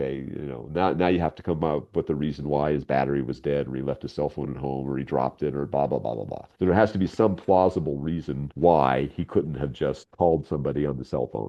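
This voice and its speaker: A man with a very deep, low voice and vocal fry talks at a very fast pace, hardly pausing at all. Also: ordinary pitch variation. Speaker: radio drama writer and voice actor. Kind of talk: interview.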